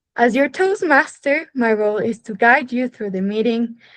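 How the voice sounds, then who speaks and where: An ordinary speaking voice belongs to a woman with a fairly high pitch. Her pitch variation is ordinary. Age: young. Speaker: meeting host. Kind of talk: formal meeting hosting.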